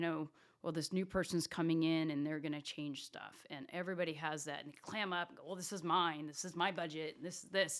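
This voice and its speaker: A woman speaks in a plain, everyday voice, fairly low in pitch and with fairly even intonation. The recording is very clean, with a silent background. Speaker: revenue operations executive. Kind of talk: interview conversation.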